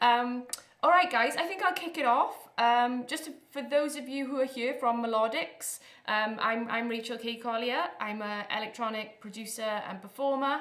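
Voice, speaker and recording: Audible room echo colors a woman's high-pitched voice in a Welsh accent. Her pace is moderate and her pitch variation ordinary. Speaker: electronic music producer and performer. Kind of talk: live stream workshop. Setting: live stream. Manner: animated.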